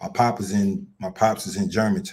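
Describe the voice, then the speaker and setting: Recorded very cleanly against a silent background, a man with an American accent speaks at a moderate pace, using a fairly low pitch and fairly even intonation. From Mississippi and Philadelphia. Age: 50s. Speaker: podcast co-host. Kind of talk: casual chat.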